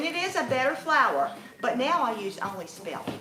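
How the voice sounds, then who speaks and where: With a Louisiana accent, a woman speaks at a moderate pace in a fairly high voice with very wide pitch swings, amid noticeable background noise and audible room echo. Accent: Southern US (Louisiana). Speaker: homesteader and bread baking instructor. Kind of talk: conference workshop talk. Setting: conference room with live audience.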